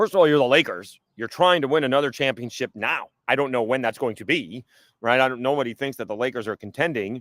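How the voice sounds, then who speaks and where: Very fast speech in a dry, close sound with no echo, on a very clean recording with a silent background. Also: man, medium pitch for a man, ordinary pitch variation. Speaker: sports talk show host. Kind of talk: casual solo podcast talk. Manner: loud.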